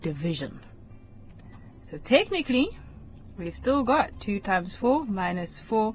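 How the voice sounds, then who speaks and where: At a fairly slow pace, a somewhat breathy woman speaks with very wide pitch swings. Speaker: maths teacher. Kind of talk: lesson on TV. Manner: slow, deliberate.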